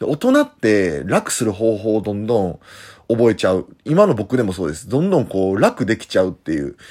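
A man speaks at a moderate pace with a fairly low pitch. His intonation is lively, and his loudness swings widely. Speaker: professional wrestler. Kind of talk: casual monologue. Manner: hesitant fillers.

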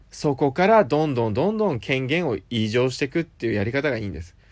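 This man's voice swings very widely in pitch against a quiet background. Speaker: app radio show host. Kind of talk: solo talk monologue.

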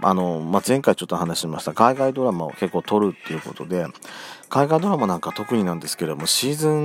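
A man talks at a very fast pace in a very deep, low pitch, with very wide pitch swings and big swings in loudness. Noticeable background noise sits behind him. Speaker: podcast host. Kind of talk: casual solo talk. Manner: fast at the end.

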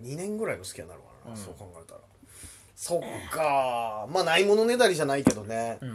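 With big swings in loudness and very wide pitch swings, a man talks at a fairly quick pace in a fairly high pitch. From Hokkaido, Japan. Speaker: comedian. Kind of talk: casual chat. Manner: animated.

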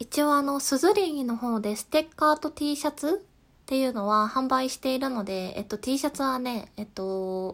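Calm in tone yet lively in intonation, a woman with a high pitch speaks at a moderate pace on a very clean recording with a silent background. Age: 20s. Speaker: podcast host. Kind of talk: solo talk. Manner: laughs at times.

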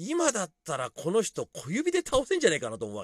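The pace is fairly quick. The recording is very clean with a silent background, and the sound is dry and close with no echo. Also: man. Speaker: podcaster and club DJ. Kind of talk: casual monologue.

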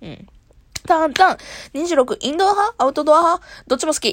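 The audio is very clean against a silent background. The speaker is a woman. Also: dry, close sound with no echo. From Kansai, Japan. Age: 20s. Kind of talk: solo casual talk. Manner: casual, frequent laughter.

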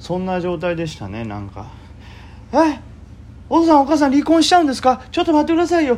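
A man's extremely high voice at a very fast pace, with very wide pitch swings, big swings in loudness and long, frequent pauses. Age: 30s. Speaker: amateur stock trader podcaster. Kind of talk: casual solo talk. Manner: rambling with fillers.

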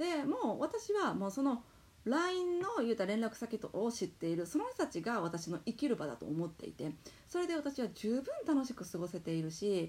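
The woman's fairly high voice moves through very wide pitch swings. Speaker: podcast host, entrepreneur mom. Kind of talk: solo talk monologue. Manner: very fast; loud, animated.

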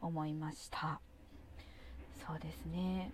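A woman speaks in a dark, mellow tone. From Japan, Kawasaki, Kanagawa. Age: 30s. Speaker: podcast host. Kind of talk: solo monologue podcast. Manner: hesitant, many fillers.

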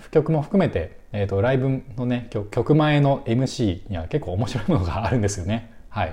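With lively intonation, a man speaks in a dark, mellow tone that is somewhat breathy. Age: 30s. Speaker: music fan podcaster. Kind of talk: casual solo talk. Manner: halting, many fillers.

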